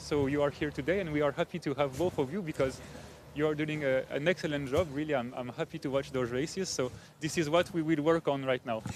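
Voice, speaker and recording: A man speaks with a French accent at a fairly high pitch. His pace is fairly quick, and his intonation stays fairly even. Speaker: rowing club official, former Olympic rower. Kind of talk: live event interview. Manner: hesitant, many fillers.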